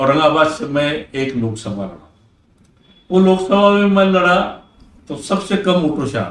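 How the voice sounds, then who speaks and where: A man with a fairly high pitch speaks with lively intonation and long, frequent pauses. Room echo is audible. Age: 70s. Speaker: former member of parliament, politician. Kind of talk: interview.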